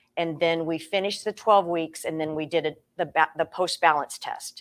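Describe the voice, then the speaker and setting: A woman with an American accent and an unremarkable speaking voice talks at a fairly quick pace with ordinary pitch variation. The sound is dry and close, with no echo. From Iowa, Des Moines. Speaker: tai chi teacher. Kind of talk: interview on webinar.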